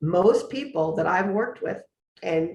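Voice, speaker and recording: Her voice is somewhat breathy and medium in pitch. The woman speaks at a fairly slow pace. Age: 60s. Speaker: recovery coach. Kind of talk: interview.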